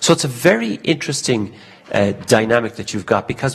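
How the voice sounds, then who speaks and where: A man in an Irish accent talks over noticeable background noise. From Ireland. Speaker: conference speaker, industry committee member. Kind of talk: conference talk. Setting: stage at business forum with interpreter. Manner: speaks quickly when excited.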